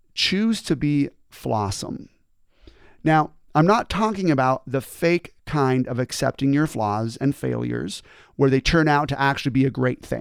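In a normal speaking voice, a man talks at a fairly slow pace in a fairly high pitch with lively intonation. The recording is very clean, with a silent background. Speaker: motivational speaker and former teacher. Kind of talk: motivational talk, scripted-style monologue. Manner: earnest, conversational, explanatory.

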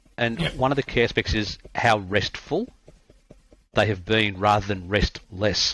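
Speaking at a fairly slow pace, a man with an Australian accent has a fairly low pitch and ordinary pitch variation. His tone comes across bright and sharp. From Australia, country Victoria. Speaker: cricket coach. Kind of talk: interview conversation.

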